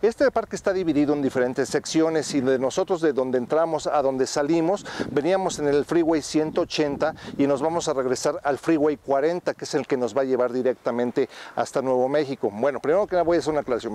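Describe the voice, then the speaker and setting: A man talks at a fairly quick pace with ordinary pitch variation and very even loudness. The sound is dry, with no echo. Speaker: travel vlogger. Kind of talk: travel vlog commentary.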